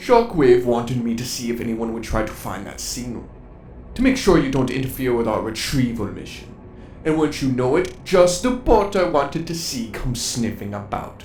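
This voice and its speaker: A man's put-on character voice at medium pitch, moderate pace, with clear background noise. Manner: menacing, taunting.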